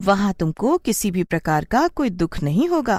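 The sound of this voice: In a cartoonish character voice, a woman speaks at medium pitch and a moderate pace on a very clean recording with a silent background.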